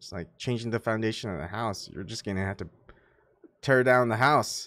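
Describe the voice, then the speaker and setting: A man with an American accent, medium pitch, lively intonation and a moderate pace. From Korean family, speaks mostly English. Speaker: livestream host. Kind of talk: casual livestream talk. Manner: animated.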